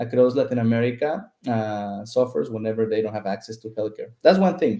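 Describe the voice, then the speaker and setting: Using very wide pitch swings, a man with a dark, mellow tone and a Spanish accent speaks at a moderate pace. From southern Mexico (Chiapas). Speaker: startup founder and CEO. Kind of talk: interview.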